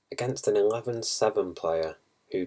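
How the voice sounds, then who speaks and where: A man mumbles his words. His pace is fairly slow. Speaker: poker player reviewing hands. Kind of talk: video hand review tutorial. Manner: mumbling; halting, thinking aloud.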